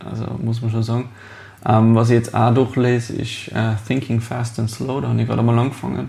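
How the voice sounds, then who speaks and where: Fairly quick speech from a medium-pitched man, monotone and flat in intonation, with noticeable background noise. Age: 20s. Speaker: master baker and business owner. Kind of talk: interview.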